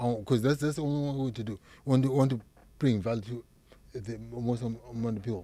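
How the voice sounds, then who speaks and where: A man's dark, mellow, medium-pitched voice in a strong Zimbabwean accent, very fast and fairly even in intonation. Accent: thick Zimbabwean. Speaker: psychiatric nurse practitioner. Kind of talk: interview. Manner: halting, repeats words.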